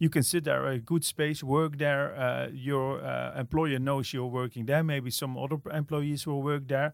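Hardly pausing at all, a man with a Dutch accent talks at a fairly slow pace in a monotone, flat manner. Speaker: innovation agency director. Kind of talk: interview. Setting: office. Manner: halting, many fillers and repeats.

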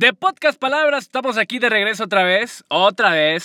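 A man speaks in an animated tone. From Mexico, Guadalajara. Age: 20s. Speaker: podcast host and communications student. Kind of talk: casual podcast monologue.

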